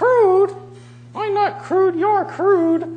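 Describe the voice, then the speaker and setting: The put-on character voice is squeaky and extremely high in pitch. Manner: ribald, crude, indignant.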